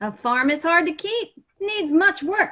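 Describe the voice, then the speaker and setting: Putting on a squeaky character voice, a woman speaks at an extremely high pitch with very wide pitch swings and a fairly slow pace. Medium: stage play. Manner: folksy, inquisitive.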